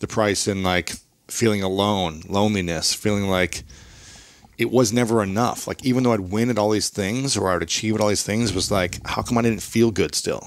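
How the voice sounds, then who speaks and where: The speaker has an American accent and fairly even intonation. The pace is moderate, and the sound is dry with no echo. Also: man, fairly low pitch for a man. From US Midwest. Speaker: author and podcaster, former athlete; podcaster. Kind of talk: interview conversation. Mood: reflective personal storytelling. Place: studio.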